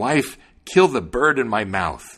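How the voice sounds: A man's put-on character voice at a medium pitch, slow and fairly bright, with a slightly husky edge and big pitch swings, on a very clean recording with a silent background.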